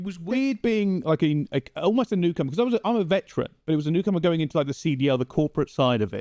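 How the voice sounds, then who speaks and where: A man speaks very fast in a high, dark and mellow voice with very wide pitch swings. The sound is dry and close with no echo, over a quiet background. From England, Essex. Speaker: esports commentator. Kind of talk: casual interview chat. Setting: podcast. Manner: animated.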